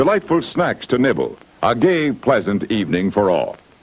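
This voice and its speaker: A man's voice with very wide pitch swings at a moderate pace over noticeable background noise. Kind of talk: vintage drive-in welcome announcement. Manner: cheerful, friendly.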